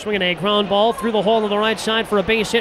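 Noticeable background noise sits behind a man with a high pitch, recorded in a dry sound with no echo. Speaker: baseball play-by-play announcer. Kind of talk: live sports commentary, call-by-call highlights. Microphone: headset.

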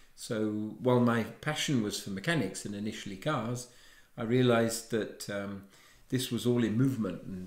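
A medium-pitched man speaks at a moderate pace with ordinary pitch variation, his voice carrying audible room echo over a quiet background. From England. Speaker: watchmaker; interviewee. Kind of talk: interview. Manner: halting. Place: home room. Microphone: lapel.

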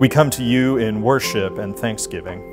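The man's pitch varies in an ordinary way. Faint music plays in the background. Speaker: minister. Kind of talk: worship introduction and prayer. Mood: calm, reverent. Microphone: lapel.

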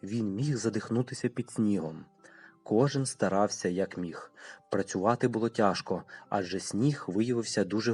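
With ordinary pitch variation, a speaker reads the text aloud plainly.

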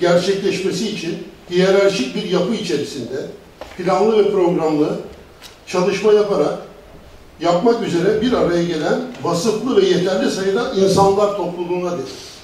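Speaking at a moderate pace, a man has a high pitch and ordinary pitch variation, with audible room echo around him. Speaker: party organizer. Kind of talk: speech. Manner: animated. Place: hall.

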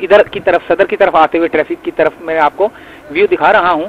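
A man speaks at a fairly quick pace, the sound dry and close with no echo.

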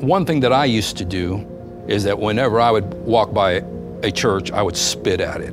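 A fairly quick pace over clear background music. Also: man. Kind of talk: personal testimony storytelling. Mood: reflective, earnest. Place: empty room.

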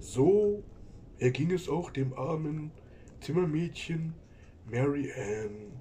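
A cartoonish character voice talks at a very slow pace, with long pauses coming often. Background noise is clearly heard. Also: man, fairly high pitch for a man. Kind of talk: spooky story narration. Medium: puppet.

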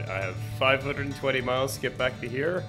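Clear music plays behind a man speaking at a medium pitch. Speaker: motorcycle travel vlogger. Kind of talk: casual vlog talk while riding. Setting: outdoors. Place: street. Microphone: phone near.

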